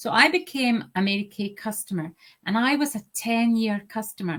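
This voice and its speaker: An Aberdeen accent with lively intonation. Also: woman, fairly high pitch for a woman. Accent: Scottish (Aberdeen). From Scotland, Aberdeen. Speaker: sales director. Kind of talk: interview. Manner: deliberately slow.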